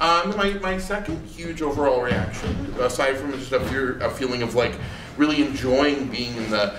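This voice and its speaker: With audible room echo and noticeable background noise, a man with an American accent and a fairly high pitch talks at a moderate pace with lively intonation. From Maine, US. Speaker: monologist. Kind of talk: post-show talkback. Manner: halting, many repeats.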